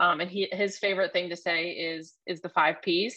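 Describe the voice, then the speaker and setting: This woman has an ordinary speaking voice. Her pitch is fairly low and her intonation fairly even. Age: 30s. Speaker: former lacrosse player and league executive. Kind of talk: casual interview. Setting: video call.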